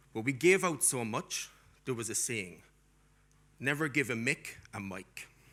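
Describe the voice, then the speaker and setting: Speaking with a strong Irish accent, a man with a bright, sharp tone goes at a fairly slow pace, leaving long, frequent pauses. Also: medium pitch for a man, lively intonation. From Ireland. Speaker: academic keynote speaker. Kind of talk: keynote speech. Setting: conference stage with audience and translators. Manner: energetic.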